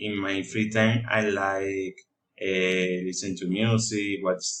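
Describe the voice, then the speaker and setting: Speaking very slowly in a Spanish accent, a man with a fairly low pitch keeps a monotone, flat intonation. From Colombia, Cartagena (Caribbean coast). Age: 20s. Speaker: student. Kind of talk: class presentation. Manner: halting, with many fillers.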